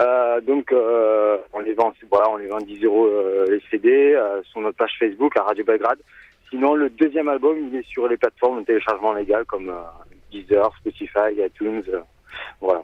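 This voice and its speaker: A man talks at a medium pitch and a moderate pace. His pitch varies in an ordinary way. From Marseille, southern France. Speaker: rock band singer. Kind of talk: radio interview. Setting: phone call.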